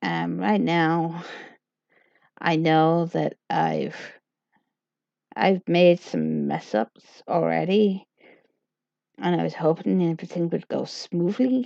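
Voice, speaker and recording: A woman mumbling at a very slow pace, with long, frequent pauses. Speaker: livestreamer. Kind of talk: casual livestream chat. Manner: halting.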